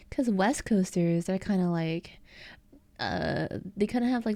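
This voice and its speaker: With an American accent and a dark, mellow tone, a woman speaks at a moderate pace and medium pitch with ordinary pitch variation, on a very clean recording with a silent background. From eastern US. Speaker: streamer. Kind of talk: casual chat. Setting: live stream.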